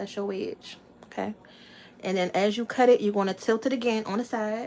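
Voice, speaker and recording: A fairly high-pitched woman's voice in an American accent, fairly quick in pace, with fairly even intonation. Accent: Southern Maryland accent, noticed by viewers. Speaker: family cooking vlogger. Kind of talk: cooking tutorial livestream. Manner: casual, chatty.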